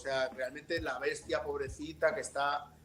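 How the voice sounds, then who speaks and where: A man with a Valencian accent, fairly high in pitch with ordinary pitch variation, music in the background. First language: Valencian (speaking Spanish). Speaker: novelist. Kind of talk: book presentation discussion. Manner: halting, with many fillers.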